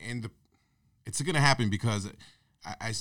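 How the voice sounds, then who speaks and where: This very clean recording has a silent background. A man speaks at a fairly low pitch with ordinary pitch variation. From Puerto Rico, raised in Connecticut. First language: Spanish. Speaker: barber and painter. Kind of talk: casual chat.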